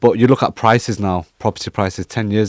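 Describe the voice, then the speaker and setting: A man speaks with a northern English accent. The sound is dry and close with no echo, on a very clean recording with a silent background. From northern England, Cheshire. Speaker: property investment broker. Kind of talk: casual interview chat.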